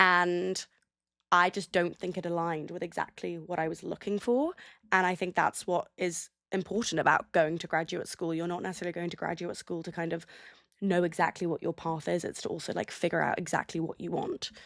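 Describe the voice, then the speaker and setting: A woman with a London accent, fairly low pitch, fairly even intonation and a fairly quick pace, on a very clean recording with a silent background and a dry, close sound with no echo. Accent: British (London). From England, London. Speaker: audio producer. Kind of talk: interview.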